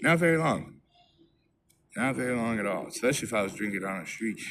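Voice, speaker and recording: Speaking very fast at a medium pitch, a man makes very wide pitch swings amid audible room echo. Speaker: recovering alcoholic vlogger. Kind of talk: personal testimony monologue. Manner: halting, repetitive.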